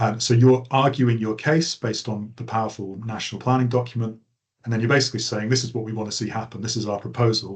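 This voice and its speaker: A man rattles along at a very fast pace, his medium-pitched, somewhat breathy voice held in a monotone, flat intonation. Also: quiet background. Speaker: planning trainer. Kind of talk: online training lecture.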